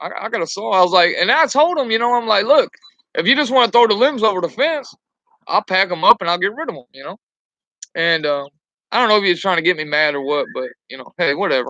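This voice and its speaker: A man with a high, bright, sharp voice projects it loudly at a very fast pace, his pitch swinging very widely. His loudness shifts in big swings, and the sound is dry and close with no echo. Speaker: truck driver. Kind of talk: casual chat. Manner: halting, many fillers.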